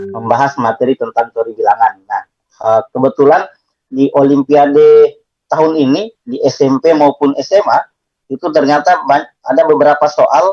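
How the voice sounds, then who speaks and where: A man speaks with an eastern Indonesian accent. His pace is moderate. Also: dry, close sound with no echo. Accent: eastern Indonesian accent, somewhat. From Southeast Sulawesi, Indonesia. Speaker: math teacher. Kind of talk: online lecture. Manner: hesitant, many fillers.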